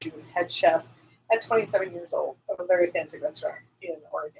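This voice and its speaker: A woman is speaking. Her pace is fairly quick. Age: 50s. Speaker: podcast co-host. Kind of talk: casual chat. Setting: live stream.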